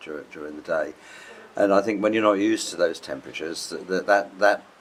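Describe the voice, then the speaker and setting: A man speaks very fast at a fairly low pitch with ordinary pitch variation. His loudness swings widely, and noticeable background noise is present. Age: 70s. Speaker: traveller, host's parent. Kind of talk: interview. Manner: halting.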